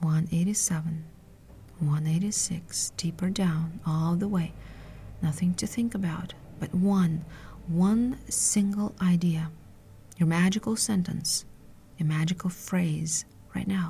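Speaking very slowly with long, frequent pauses, a woman with a fairly low pitch and somewhat breathy voice uses a soothing, calm, dark, mellow tone and fairly even intonation. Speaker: hypnotherapist. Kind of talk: guided hypnosis induction. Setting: solo audio podcast. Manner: slow, soothing, calm; hushed, rhythmic, hypnotic.

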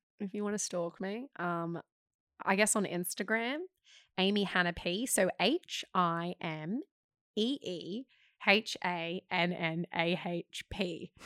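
A woman with an Australian accent speaks at a very slow pace in a medium pitch with ordinary pitch variation, her voice dry and close with no echo on a very clean recording with a silent background. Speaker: actor. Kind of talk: casual chat. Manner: animated.

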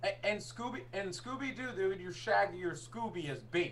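With an American accent and a fairly high pitch, a man speaks at a moderate pace amid noticeable background noise and audible room echo. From US Northeast. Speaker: podcast co-host. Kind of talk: casual chat.

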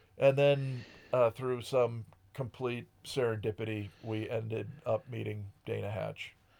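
A man with a normal speaking voice talks at a fairly slow pace, his medium pitch held in fairly even intonation. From rural Connecticut. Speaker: musician. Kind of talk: casual chat.

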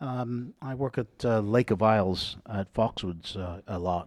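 Recorded very cleanly against a silent background, a man speaks with an English accent. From England, Gloucester. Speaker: wedding DJ. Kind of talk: casual chat.

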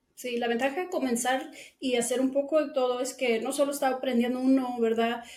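A woman talks at a fairly quick pace with a high pitch and fairly even intonation. Room echo is audible. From Guatemala City, moved to Texas at six. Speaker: cleaning business owner. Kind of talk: interview.

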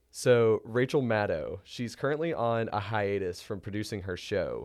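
Over a very clean recording with a silent background, a man talks at a moderate pace with an ordinary speaking voice at medium pitch. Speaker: student podcast host. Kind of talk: interview. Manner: partly scripted, reads prepared questions.

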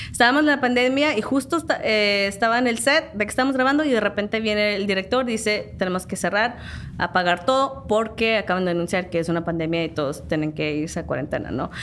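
At a very fast pace, a woman talks with very wide pitch swings around a medium pitch. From Southern California, San Diego area. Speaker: background actress. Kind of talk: interview.

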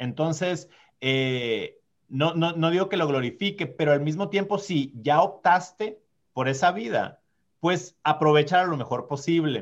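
Speaking at a fairly slow pace, a man with an unremarkable speaking voice sits fairly high in pitch and shows ordinary pitch variation. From Sonora, Mexico (small mountain town). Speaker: diplomat. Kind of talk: podcast interview.

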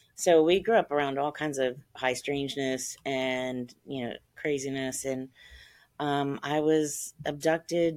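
In a very clean recording with a silent background, a woman with a very deep, low pitch speaks in an American accent, her intonation fairly even and her loudness swinging widely. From central Ohio, US. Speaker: author and abduction experiencer. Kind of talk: interview, personal testimony.

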